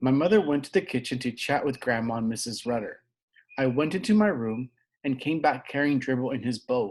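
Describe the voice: Plain reading aloud with lively intonation plays against a quiet background.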